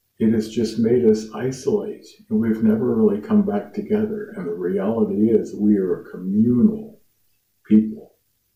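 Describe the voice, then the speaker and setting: This speaker has an American accent and moves at a moderate pace. The loudness swings widely from moment to moment. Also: man. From US Midwest, Lafayette, Indiana. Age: 50s. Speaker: musician and YouTuber. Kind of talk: casual monologue to camera.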